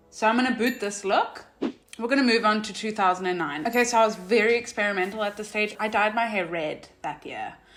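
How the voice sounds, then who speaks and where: A woman's fairly high voice at a fairly quick pace, ordinary pitch variation, and noticeable background noise. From South Africa. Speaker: vlogger. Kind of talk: casual vlog commentary. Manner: animated.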